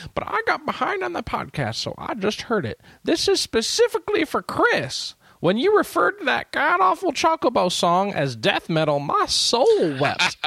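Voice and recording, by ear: A high-pitched, put-on character voice speaking at a moderate pace.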